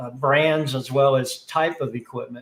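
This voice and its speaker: A man with an American accent talks at a moderate pace with fairly even intonation. His voice is somewhat breathy. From US South. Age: 60s. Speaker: HVAC industry executive. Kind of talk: interview. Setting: live stream.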